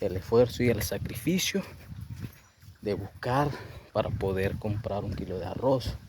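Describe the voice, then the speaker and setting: A man's fairly low voice with a La Guajira accent, at a fairly slow pace. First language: Wayuunaiki (speaking Spanish). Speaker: professional sharing life story. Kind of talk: motivational testimony.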